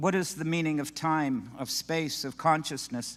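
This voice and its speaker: A man talks in a normal speaking voice at a moderate pace. His pitch varies in an ordinary way, and the recording is very clean with a silent background. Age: 60s. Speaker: scholar and rabbi. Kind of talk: prepared speech.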